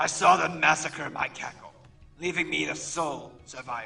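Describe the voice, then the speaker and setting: A growling, put-on character voice comes through with faint music in the background. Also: man, fairly high pitch for a man, moderate pace. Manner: bitter, grim.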